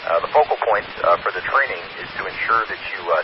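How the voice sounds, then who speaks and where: Over noticeable background noise, a man speaks in a calm tone. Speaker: amateur radio net control operator. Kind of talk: radio dispatch net control: formal scripted opening, roll-call style, closing sign-off. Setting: amateur radio repeater net. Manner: formal, clipped and measured, reading frequencies in precise procedural phrasing; calm and businesslike, steady, directing the net with courteous authority.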